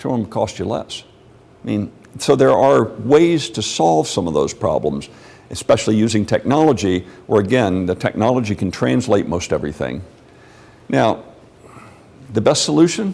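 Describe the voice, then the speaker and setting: A man with a fairly low pitch and vocal fry talks at a moderate pace. His pitch swings very widely, and he takes long, frequent pauses. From Mexico City. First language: Spanish. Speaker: lecturer. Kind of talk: lecture Q&A. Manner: conversational.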